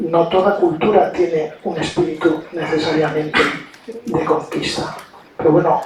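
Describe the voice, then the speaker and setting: Amid noticeable background noise and audible room echo, a man with a fairly high pitch speaks at a fairly slow pace with fairly even intonation. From Spain. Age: 60s. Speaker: diplomat. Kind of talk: lecture. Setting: university auditorium with audience. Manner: hesitant fillers.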